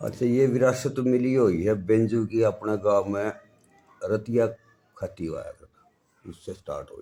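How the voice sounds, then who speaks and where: A man of medium pitch with fairly even intonation, big swings in loudness and long, frequent pauses. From Haryana, Jind district. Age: 60s. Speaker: folk musician, banjo player. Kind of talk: interview.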